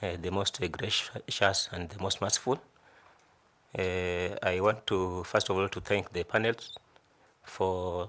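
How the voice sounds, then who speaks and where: A man speaks fairly slowly in a very deep, low voice with a bright, sharp tone. His intonation is monotone and flat, broken by long, frequent pauses. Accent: Kenyan coastal. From Kenya, Kilifi County (coast). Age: 40s. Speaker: job interview candidate. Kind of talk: formal interview presentation. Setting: selection panel interview. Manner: halting, many repetitions and fillers.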